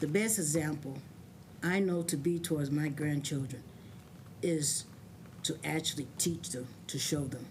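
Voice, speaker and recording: Somewhat breathy speech comes at a moderate pace with long, frequent pauses and audible room echo. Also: woman, very deep, low pitch for a woman, ordinary pitch variation. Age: 60s. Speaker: adult learner giving testimony. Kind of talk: testimony.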